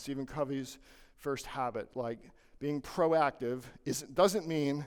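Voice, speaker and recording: In a very clean recording with a silent background, a man with a fairly high pitch talks at a moderate pace in a normal speaking voice with ordinary pitch variation. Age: 60s. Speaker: lawyer and legal marketing coach. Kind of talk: conference presentation. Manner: conversational with frequent fillers.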